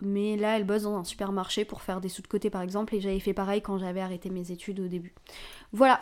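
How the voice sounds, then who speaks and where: The pace is fairly quick and the intonation monotone and flat. It is a very clean recording with a silent background. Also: woman. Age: 20s. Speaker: podcast host. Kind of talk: casual monologue. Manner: informal, hesitant with fillers.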